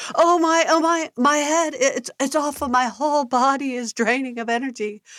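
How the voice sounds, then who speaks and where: A put-on, whiny character voice that sounds female comes through on a very clean recording with a silent background. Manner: overly dramatic, whining.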